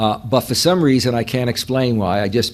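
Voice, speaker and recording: A New York accent at a fairly quick pace, with ordinary pitch variation. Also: man. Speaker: professor. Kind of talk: lecture.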